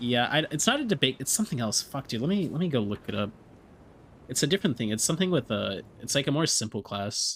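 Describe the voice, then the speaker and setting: A man with an American accent, very fast and with lively intonation. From Texas. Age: 20s. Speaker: video game streamer. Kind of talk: casual live-stream chat.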